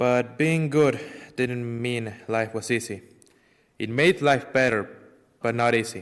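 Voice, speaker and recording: Speaking with an Ecuadorian accent, a man moves at a fairly slow pace with long, frequent pauses and ordinary pitch variation. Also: medium pitch for a man. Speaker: parishioner giving faith testimony. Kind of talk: testimony.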